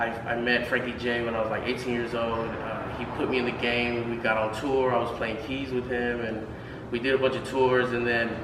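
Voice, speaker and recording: Through noticeable background noise and audible room echo, a man with an American accent talks fairly quickly in a monotone, flat way. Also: medium pitch for a man. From Houston, Texas. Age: 30s. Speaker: music producer. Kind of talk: casual interview. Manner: halting, many fillers.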